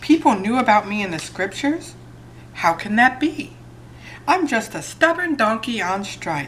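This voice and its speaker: Through clear background noise, a female-sounding voice does a put-on character voice at a fairly high pitch and a moderate pace. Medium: read story. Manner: emphatic, dramatic.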